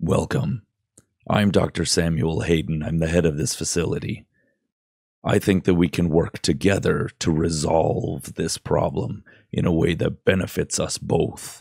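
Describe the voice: Putting on a character voice, a man rumbles at a very deep, low pitch with ordinary pitch variation and a moderate pace, in a dry, close sound with no echo.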